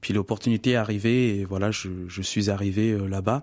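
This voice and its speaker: A man speaks at a moderate pace with a fairly low pitch. The sound is dry and close, with no echo. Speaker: singer. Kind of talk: radio interview. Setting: radio studio. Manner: talkative.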